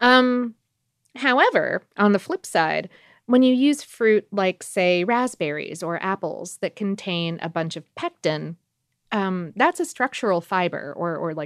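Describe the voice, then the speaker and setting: A woman has a normal speaking voice at a medium pitch, with lively intonation. She speaks at a fairly slow pace over a quiet background. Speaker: podcast host. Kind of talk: casual chat. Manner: casual, filler-heavy.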